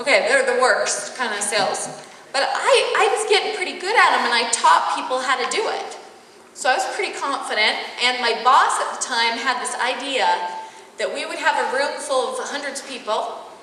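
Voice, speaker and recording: A woman speaks in a raised, projected voice with a Utah accent, at a moderate pace and a high pitch with very wide pitch swings. There is audible room echo and noticeable background noise. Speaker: corporate trainer and life coach. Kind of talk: corporate training talk.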